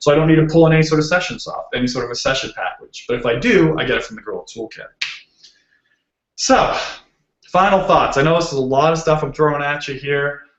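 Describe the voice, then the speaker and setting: Speaking with a Boston accent, a man goes at a very fast pace with a fairly high pitch. His pitch varies in an ordinary way, while his loudness swings widely. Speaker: software developer, conference speaker. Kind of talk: technical talk. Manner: casual, filler-heavy.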